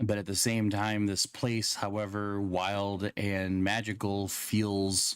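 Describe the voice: The recording features plain reading aloud.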